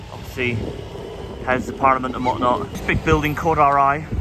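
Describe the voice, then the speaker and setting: A man is speaking in a room with audible echo. Noticeable background noise can be heard as well. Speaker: travel vlogger. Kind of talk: travel vlog narration. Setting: outdoors. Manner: casual.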